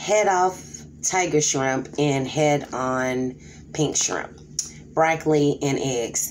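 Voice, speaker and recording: Audible echo from the room and noticeable background noise accompany the woman as she talks. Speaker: mukbang YouTuber. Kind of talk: casual vlog talk while eating.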